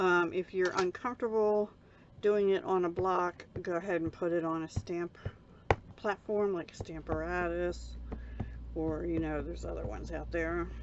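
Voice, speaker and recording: A soft-spoken woman at a fairly slow pace. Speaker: card-making crafter. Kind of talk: crafting tutorial. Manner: casual.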